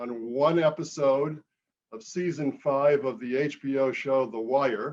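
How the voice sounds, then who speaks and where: A man's fairly high voice with a northern US accent, very slow pace and fairly even intonation. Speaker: author and journalist. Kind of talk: public talk. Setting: video call.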